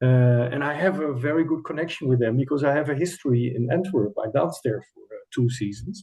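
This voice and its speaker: Speaking with a Dutch accent, a man talks at a fairly quick pace with hardly any pauses. His voice is fairly high in pitch, with ordinary pitch variation. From Netherlands. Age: 60s. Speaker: choreographer and former ballet dancer. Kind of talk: interview. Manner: hesitant, with fillers and restarts.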